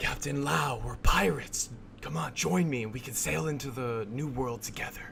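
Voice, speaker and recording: A man's put-on character voice at medium pitch and a moderate pace, over clear background noise. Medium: actual play.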